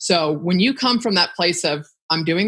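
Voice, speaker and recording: This woman speaks with lively intonation and a fairly low pitch, in an American accent. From Northern California, Bay Area. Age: 50s. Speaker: content creation entrepreneur. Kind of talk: casual interview chat.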